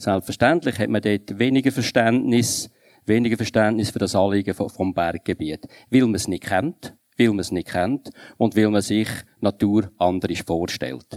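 At a fairly slow pace, a man with a fairly low pitch talks in a plain, everyday voice with ordinary pitch variation, in a dry, close sound with no echo. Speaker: politician. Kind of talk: panel debate.

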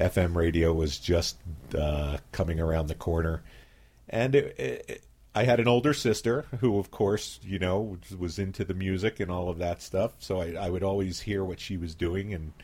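A man's very deep, low, somewhat breathy voice with an American accent, ordinary pitch variation and a moderate pace. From Philadelphia, US. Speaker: community radio station founder. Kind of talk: radio interview. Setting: radio studio.

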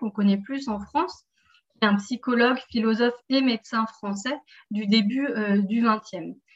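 A woman's somewhat breathy voice, fairly high in pitch, with ordinary pitch variation and a fairly slow pace. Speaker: seminar moderator. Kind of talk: seminar moderation. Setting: video call.

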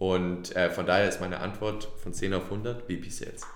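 A man talks at a very slow pace with fairly even intonation. Audible room echo surrounds his voice. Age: 30s. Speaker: startup CEO. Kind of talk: interview. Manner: halting, many fillers.

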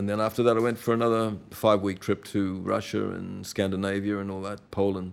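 A man speaks with an Australian accent at a fairly low pitch. His intonation is monotone and flat. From Australia, Brisbane (Queensland). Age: 70s. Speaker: storyteller recounting travels. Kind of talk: casual chat.

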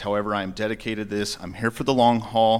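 Fairly low in pitch, a man talks with an American accent. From Grand County, Utah. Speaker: sheriff candidate, deputy. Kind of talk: debate. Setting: stage with audience.

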